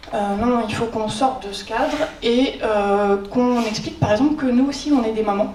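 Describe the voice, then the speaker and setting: A woman talks at a moderate pace with a fairly high pitch and ordinary pitch variation. Noticeable background noise and an audible room echo are present. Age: 30s. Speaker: librarian. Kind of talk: conference talk. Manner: hesitant, many filler sounds; informal.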